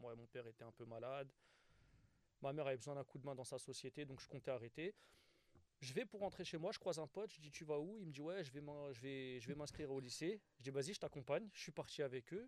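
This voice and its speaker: Despite long, frequent pauses, this man speaks at a very fast pace, his fairly high pitch showing ordinary variation. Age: 30s. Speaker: stand-up comedian. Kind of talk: casual interview.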